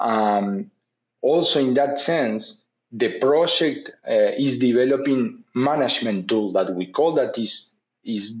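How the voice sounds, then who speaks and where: Against a quiet background, a man with a Spanish accent speaks at a fairly slow pace and a medium pitch. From Uruguay. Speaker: animal genetics professor. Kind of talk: interview. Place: home room. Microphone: webcam.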